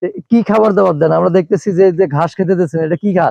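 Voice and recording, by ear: The voice has a dark, mellow tone with vocal fry and ordinary pitch variation. It moves at a fast pace in a dry, close sound with no echo. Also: man, high pitch for a man.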